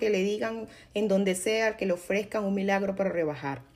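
A woman speaks in a plain, everyday voice at a fairly slow pace. Her intonation stays fairly even. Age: 40s. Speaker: podcast host. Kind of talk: personal monologue.

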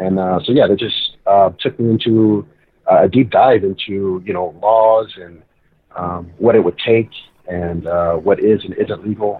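An unremarkable speaking voice, a man's, fairly low in pitch, moves at a fairly slow pace with fairly even intonation. His loudness swings widely. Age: 20s. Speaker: pro wrestler. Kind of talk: casual chat.

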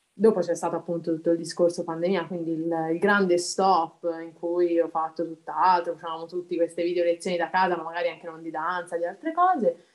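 The voice has big swings in loudness. Its intonation stays monotone and flat. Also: woman, fairly low pitch for a woman, fairly quick pace. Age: 30s. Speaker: amateur dancer. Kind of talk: interview.

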